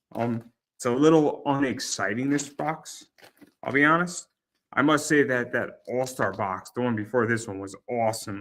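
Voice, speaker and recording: A man talks at a moderate pace in a normal speaking voice of medium pitch, with ordinary pitch variation and big swings in loudness. The recording is very clean, with a silent background. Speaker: card collecting youtuber. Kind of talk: casual card-break commentary. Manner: repetitive, filler-heavy.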